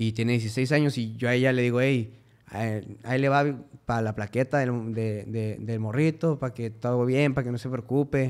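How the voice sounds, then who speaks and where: A man speaks at a medium pitch and a moderate pace. His intonation is fairly even over a quiet background. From Mexico, Cuauhtémoc, Chihuahua; Chihuahua, Mexico. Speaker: musician; podcast guest. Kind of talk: casual chat. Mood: relaxed, joking storytelling. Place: studio. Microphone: studio mic.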